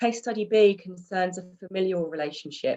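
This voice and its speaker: The woman's pitch sits in the medium range, with ordinary pitch variation. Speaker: domestic abuse support lead at a housing provider. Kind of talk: webinar presentation of case studies. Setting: video call. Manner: fast.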